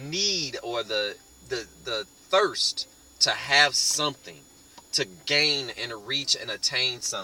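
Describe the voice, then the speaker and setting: Music plays in the background as a man speaks very slowly. He leaves long, frequent pauses. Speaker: online marketing network member. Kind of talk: motivational talk to camera.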